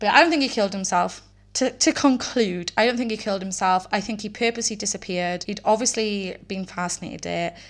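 A woman with a Welsh accent, very fast pace, medium pitch, ordinary pitch variation, and a very clean recording with a silent background. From Wales. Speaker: true crime podcast host. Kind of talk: casual solo podcast narration. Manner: rambling, conversational.

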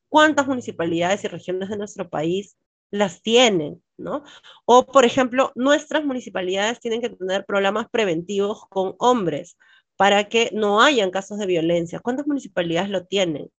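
With a plain, everyday voice, a woman speaks at a medium pitch and moderate pace with lively intonation. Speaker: lawyer. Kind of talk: interview.

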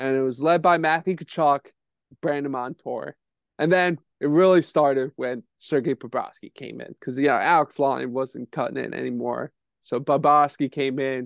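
Using an ordinary speaking voice, a man talks at a moderate pace with a fairly high pitch and fairly even intonation. The sound is dry and close, with no echo and a quiet background. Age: 20s. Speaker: hockey podcast co-host. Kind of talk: casual chat.

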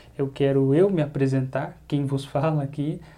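Though his pitch is fairly high, this man has a dark, mellow tone and keeps a moderate pace. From Brazil, Campinas (São Paulo state). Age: 20s. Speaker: Bible teacher and podcast host. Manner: talkative.

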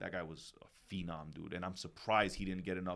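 A man speaks at a very fast pace with a very deep, low pitch and an American accent. His intonation stays monotone and flat. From New York City. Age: 30s. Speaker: retired pro footballer and coach. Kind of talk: casual chat.

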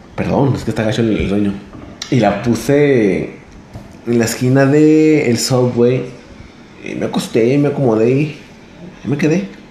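Over noticeable background noise and audible room echo, a man at a medium pitch talks at a fairly slow pace with ordinary pitch variation and long, frequent pauses. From Torreón, Coahuila, northern Mexico. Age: 20s. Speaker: vlogger. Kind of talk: storytelling monologue. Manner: halting, many fillers.

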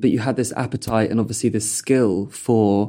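Recorded very cleanly against a silent background, a man speaks in a southern English accent at medium pitch and moderate pace, his tone dark and mellow. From Purley, south London. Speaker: podcast host. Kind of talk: casual chat.

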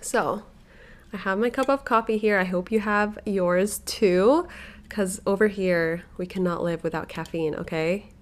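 With ordinary pitch variation, a woman speaks at a medium pitch and a fairly slow pace. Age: 20s. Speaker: podcast host and stay-at-home mom influencer. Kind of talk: casual solo podcast chat. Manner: animated.

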